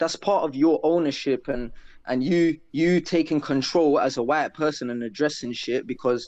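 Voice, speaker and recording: A man with a London accent talks at a fairly high pitch with ordinary pitch variation against a quiet background. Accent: London multicultural English. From South London. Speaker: guest. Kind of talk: casual chat.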